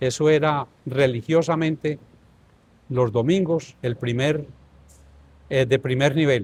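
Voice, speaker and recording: The voice is somewhat breathy and moves at a fairly slow pace. Pitch varies in an ordinary way. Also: man. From Colombia, northern Tolima. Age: 70s. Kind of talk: interview, life story.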